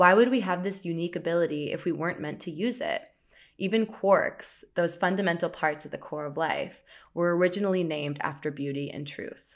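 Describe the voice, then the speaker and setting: A woman speaks in a plain, everyday voice, fairly low in pitch, at a fairly quick pace with ordinary pitch variation. Her loudness swings widely, and the recording is very clean with a silent background. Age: 20s. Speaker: podcast co-host. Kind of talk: casual chat.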